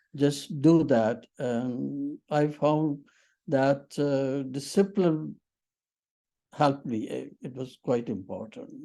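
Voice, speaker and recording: Very slow speech in a Punjabi accent over a quiet background. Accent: Indian English (Punjabi). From Punjab, Pakistan/India. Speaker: interviewee, retired teacher. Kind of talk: interview. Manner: halting.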